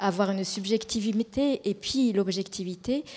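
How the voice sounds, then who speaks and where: In a dark, mellow tone, a woman's voice stays at a medium pitch. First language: Japanese (speaking French). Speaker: colour researcher. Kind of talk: panel discussion. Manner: halting.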